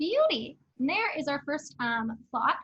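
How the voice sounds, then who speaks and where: The woman's voice is raised and projected, with a bright, sharp tone. Her pitch moves with ordinary variation. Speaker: teaching assistant. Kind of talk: tutorial. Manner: fast.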